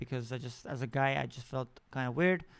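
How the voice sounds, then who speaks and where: Recorded very cleanly against a silent background, a man speaks at medium pitch with fairly even intonation. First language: not English. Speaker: podcast host. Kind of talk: personal storytelling monologue. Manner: halting, many fillers and restarts.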